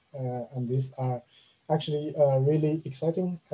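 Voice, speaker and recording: There is a dark, mellow tone to this man's somewhat breathy voice. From China. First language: Chinese. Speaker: machine learning engineer; presenter. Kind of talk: online talk with slides. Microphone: webcam.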